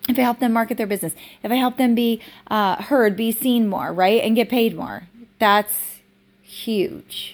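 A woman's unremarkable speaking voice, fairly high in pitch, with ordinary pitch variation at a moderate pace. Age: 40s. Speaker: business coach and podcast host. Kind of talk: casual solo monologue.

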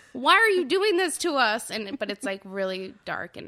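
A woman with an American accent, a bright, sharp tone and very wide pitch swings. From Southern California. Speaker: freelance trumpet player and music teacher. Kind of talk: casual interview.

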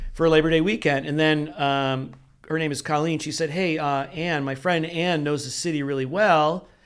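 The speaker has an unremarkable speaking voice with an American accent. The intonation is fairly even and the pace moderate. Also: man, fairly high pitch for a man. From upstate New York (Rochester). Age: 60s. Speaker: franchise attorney. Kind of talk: interview conversation.

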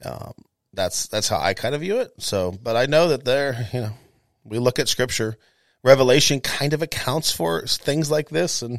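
Recorded very cleanly with a silent background and a dry, close sound without echo, a man with an ordinary speaking voice talks at a moderate pace with lively intonation. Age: 40s. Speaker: pastor. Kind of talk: casual chat.

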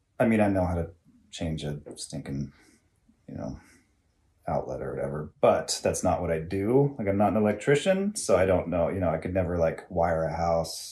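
A man with an American accent, a very deep, low pitch and a dark, mellow, somewhat breathy tone talks at a moderate pace with lively intonation. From US West, Dinuba, California. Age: 40s. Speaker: electrical technician, host's husband. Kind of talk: casual chat. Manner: hesitant, many fillers.

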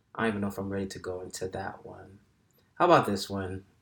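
Speaking with an American accent, a man with a fairly low pitch goes at a fairly quick pace in a monotone, flat delivery. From Brooklyn, New York (Flatbush). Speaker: podcast host, author and motivational speaker. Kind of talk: solo casual monologue. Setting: alone in a room.

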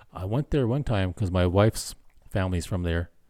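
On a very clean recording with a silent background, a man talks at a fairly quick pace in a very deep, low pitch with a dark, mellow tone. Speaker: podcast host. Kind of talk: casual chat. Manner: joking.

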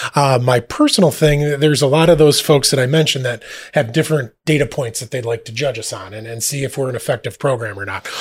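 A man speaks at a medium pitch and a very fast pace. His voice is somewhat breathy, with ordinary pitch variation. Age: 30s. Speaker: school administrator. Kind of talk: podcast interview.

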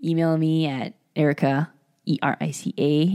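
Speaking at a very slow pace, a woman with an American accent has a very deep, low pitch and a dark, mellow tone. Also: dry, close sound with no echo. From California, San Francisco Bay Area. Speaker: physical therapist, podcast co-host. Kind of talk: casual interview chat.

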